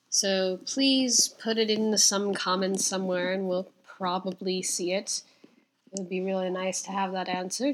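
An ordinary speaking voice from a woman, medium in pitch, at a moderate pace with fairly even intonation. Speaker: podcast host. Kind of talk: podcast intro and outro.

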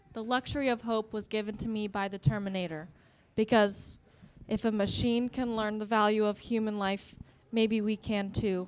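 A woman with an ordinary speaking voice, fairly high in pitch, keeps a moderate pace and fairly even intonation. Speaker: student comedian panelist.

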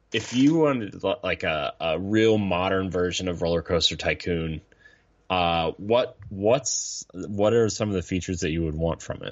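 Speaking fairly slowly, a man with a very deep, low voice uses ordinary pitch variation. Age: 30s. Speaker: gaming streamer and podcaster. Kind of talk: casual chat. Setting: live stream.

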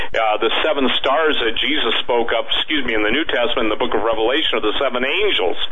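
An animated man at a medium pitch with ordinary pitch variation, against noticeable background noise. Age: 60s. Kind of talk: radio interview. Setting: radio show, remote guest. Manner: animated, emphatic.

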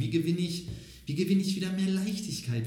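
Audible room echo is present. A man is speaking. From Lower Rhine region, Germany (near Xanten). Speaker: personality coach. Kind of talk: interview.

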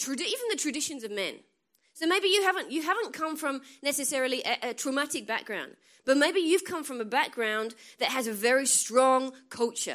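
With an American accent, a woman speaks in a high pitch at a moderate pace. Her tone is animated and her intonation lively. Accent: English accent, somewhat changed by US. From England. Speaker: guest preacher. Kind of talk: sermon. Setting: church with congregation.

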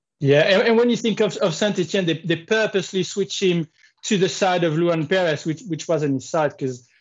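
With a French accent, the speaker talks at a fairly quick pace. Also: man, high pitch for a man, ordinary pitch variation. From France, Marseille. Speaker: football podcast co-host. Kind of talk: casual chat.

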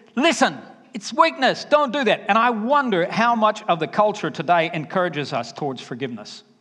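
A man with a high voice talks fairly quickly, his intonation lively. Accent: Southern US. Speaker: preacher. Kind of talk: sermon.

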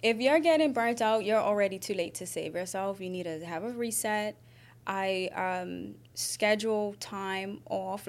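In a very clean recording with a silent background, a woman with a plain, everyday voice speaks at a moderate pace in a medium pitch with ordinary pitch variation. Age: 30s. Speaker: entrepreneur and doula. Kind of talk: casual chat.

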